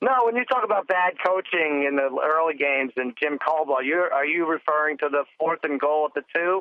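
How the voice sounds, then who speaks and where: A man with a plain, everyday voice and fairly high pitch talks at a fairly quick pace, with ordinary pitch variation, very even loudness and hardly any pauses. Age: 40s. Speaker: sports podcast co-guest, football bettor. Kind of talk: casual chat.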